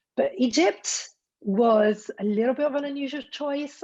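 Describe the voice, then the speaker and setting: Somewhat breathy, a woman speaks with an Italian accent and ordinary pitch variation. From Italy. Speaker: destination wedding planner. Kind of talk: interview.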